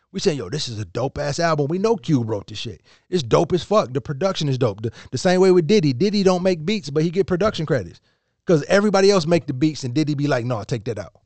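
A man talks at a very fast pace and a fairly high pitch, with an animated tone. His pitch swings very widely, and the background is quiet. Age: 30s. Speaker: podcast co-host. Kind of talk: casual chat.

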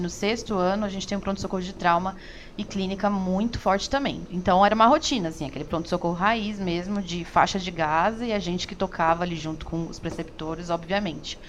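Speaking in a normal speaking voice, a woman at a medium pitch keeps a fairly quick pace with fairly even intonation and hardly any pauses. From São Paulo, Brazil. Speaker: emergency medicine resident. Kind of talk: interview.

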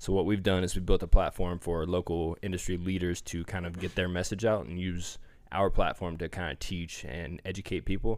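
In an American accent, a man with a very deep, low voice talks at a fairly quick pace in a monotone, flat intonation with hardly any pauses, on a very clean recording with a silent background. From small-town northeast Indiana. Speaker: fitness magazine publisher. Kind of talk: casual chat. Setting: studio.

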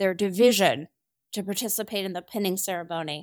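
A woman with an ordinary speaking voice and an American accent talks at a moderate pace and medium pitch in fairly even intonation. The recording is very clean with a silent background, and the sound is dry and close with no echo. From rural New Jersey. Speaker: navy admiral. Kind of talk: interview.

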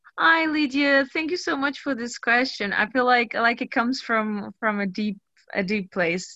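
A woman with a Portuguese accent talks at a moderate pace and a high pitch, using lively intonation and a bright, sharp tone. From Portugal. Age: 30s. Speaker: actress and burlesque dancer. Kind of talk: casual interview chat.

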